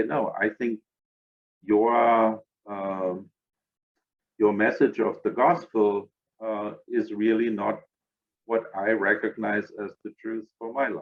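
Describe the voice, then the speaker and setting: A man speaks with a German accent. His pitch sits in the medium range. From Germany. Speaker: interfaith organization director. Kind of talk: podcast interview.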